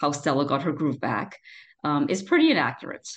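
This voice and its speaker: This woman speaks in an American accent. Her pitch is very deep and low. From Trinidad and Tobago. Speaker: lawyer. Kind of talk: interview. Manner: halting, many repeated words and fillers.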